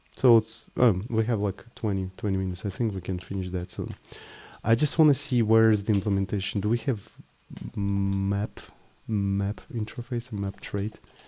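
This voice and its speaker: A man with a Russian accent speaks at a fairly low pitch, his tone dark and mellow and his intonation fairly even. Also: moderate pace. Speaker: programming live streamer. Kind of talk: live coding stream. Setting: live stream. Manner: casual, thinking aloud with hesitations.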